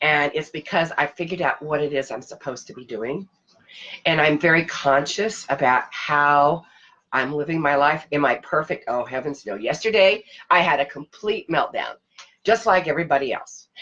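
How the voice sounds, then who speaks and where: A woman with a very deep, low pitch and a bright, sharp tone talks at a moderate pace with ordinary pitch variation. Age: 60s. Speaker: leadership coach and vlogger. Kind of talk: casual vlog talk.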